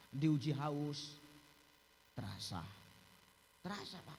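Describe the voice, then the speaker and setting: A man with a Medan accent at a fairly slow pace. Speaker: Islamic preacher. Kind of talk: humorous religious sermon.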